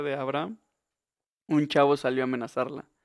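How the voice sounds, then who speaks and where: Recorded with a dry, close sound and no echo, a man with a Mexican accent speaks in a fairly high voice with fairly even intonation. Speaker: podcast co-host, university student. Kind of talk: casual chat.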